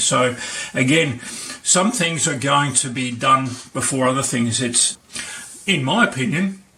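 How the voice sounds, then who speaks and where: A man with an Australian accent speaks at medium pitch with ordinary variation. Room echo is audible, along with noticeable background noise. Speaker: maker and video tutor. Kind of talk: tutorial. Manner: halting, many fillers.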